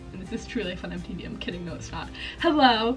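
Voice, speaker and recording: Behind a woman's speech, music can be heard in the background. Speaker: college student. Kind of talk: casual talk to camera.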